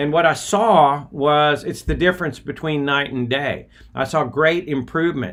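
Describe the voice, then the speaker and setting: Speaking at a fairly slow pace, a man with an American accent uses a fairly high pitch. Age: 60s. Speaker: podcast host, former missionary. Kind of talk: casual livestream monologue. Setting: outdoors by a river at dawn. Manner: halting, many fillers.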